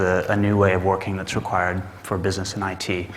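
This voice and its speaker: A man with a Texas accent speaks in a fairly low, monotone, flat voice. Audible room echo and noticeable background noise surround him. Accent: American (Texas). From Texas, Dallas. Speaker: management consultant. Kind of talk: conference talk. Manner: hesitant with many fillers.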